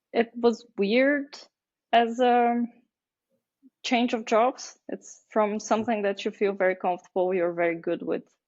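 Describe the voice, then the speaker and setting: A woman's fairly high voice with a Bulgarian accent, at a fairly slow pace with ordinary pitch variation. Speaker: marketing agency founder. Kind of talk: podcast interview. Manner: hesitant, many fillers.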